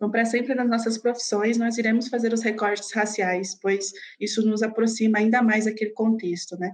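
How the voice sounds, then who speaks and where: Her pitch fairly high, a woman talks at a fairly quick pace with monotone, flat intonation. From Brazil, São Paulo ABC region. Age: 20s. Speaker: podcaster. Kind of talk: interview.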